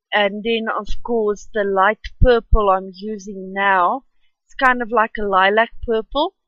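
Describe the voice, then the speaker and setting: Speaking at a fairly slow pace with a South African accent, a woman keeps a fairly high pitch and fairly even intonation while her loudness swings widely. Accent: Afrikaans-accented English. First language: Afrikaans. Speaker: art youtuber. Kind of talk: tutorial voice-over. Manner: halting.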